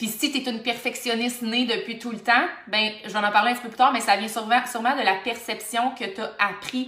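A woman with a Quebec accent talks at a very fast pace in a fairly high, monotone, flat voice. The recording has audible room echo and noticeable background noise. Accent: Québécois French. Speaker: life coach. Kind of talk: solo motivational podcast monologue.

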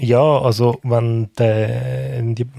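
A man speaks with a Swiss accent at medium pitch and fairly even intonation. The sound is dry and close with no echo. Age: 40s. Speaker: podcast co-host. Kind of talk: casual chat.

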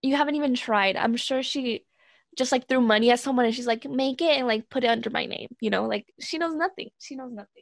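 A woman with high pitch and ordinary pitch variation, at a fairly quick pace. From US West Coast, Southern California and Oregon; born in Mexico. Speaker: podcast co-host. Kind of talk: casual chat.

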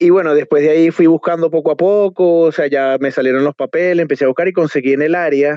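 This man speaks at a very fast pace with hardly any pauses, his pitch fairly high. His intonation stays fairly even and his loudness very even. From Venezuela, Trujillo state (Valera). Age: 20s. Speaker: restaurant entrepreneur. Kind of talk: interview.

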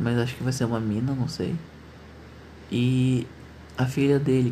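A man's somewhat breathy voice, dark and mellow, at a moderate pace. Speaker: podcaster. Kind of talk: casual monologue.

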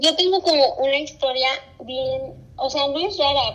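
A woman projects her voice at a high pitch with lively intonation. Noticeable background noise is present. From Mexico, Zacatecas. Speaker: podcast co-host. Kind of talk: casual chat. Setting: video call.

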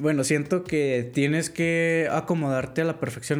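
At a fairly slow pace, the voice continues with music in the background. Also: man. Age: 20s. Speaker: programming student. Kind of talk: casual interview chat.

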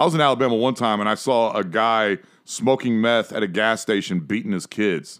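A man speaks in an animated tone with an American accent, at a fairly quick pace. His pitch sits in the medium range, with ordinary pitch variation. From Ohio, US Midwest. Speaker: sports podcast host. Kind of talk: casual chat.

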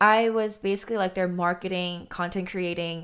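A woman with an American accent speaks in a normal speaking voice at medium pitch and a moderate pace, her intonation fairly even, on a very clean recording with a silent background. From Texas, Austin; Korean American. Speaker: independent musician. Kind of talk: casual interview.

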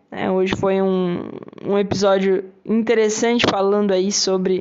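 With noticeable background noise, a woman in a Brazilian accent speaks at a medium pitch. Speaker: English teacher and podcast host. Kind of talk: casual solo podcast lesson. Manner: animated.

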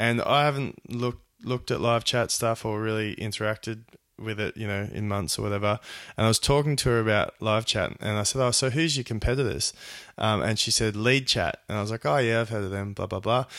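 A man with an Australian accent at a medium pitch, ordinary pitch variation, a fairly quick pace, and a very clean recording with a silent background. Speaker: podcast host. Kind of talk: interview; podcast intro.

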